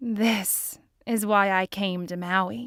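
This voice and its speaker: A woman's put-on character voice at a medium pitch, with ordinary pitch variation. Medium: read story. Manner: soft, gentle.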